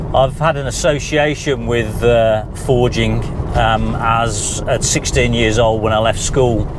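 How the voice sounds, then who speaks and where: Man at a medium pitch and moderate pace, fairly even intonation, with audible room echo and noticeable background noise. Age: 60s. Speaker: vlogger. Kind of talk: casual vlog narration. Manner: hesitant, many fillers.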